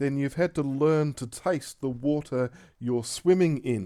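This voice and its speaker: In an Australian accent, a man speaks fairly slowly with a dark, mellow tone and fairly high pitch with ordinary variation, on a very clean recording with a silent background. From Australia (Tasmania). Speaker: pastor. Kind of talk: recorded talk voiceover over slides. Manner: halting, many fillers and restarts.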